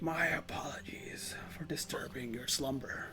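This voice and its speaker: A raspy, put-on character voice from a man at medium pitch and moderate pace, over loud background noise. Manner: polite, formal.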